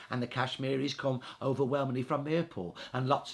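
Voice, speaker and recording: Speaking in a Birmingham accent at a fairly quick pace, a man keeps a medium pitch and fairly even intonation. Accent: Birmingham (Brummie) English. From Birmingham, England. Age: 60s. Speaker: historian. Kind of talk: interview.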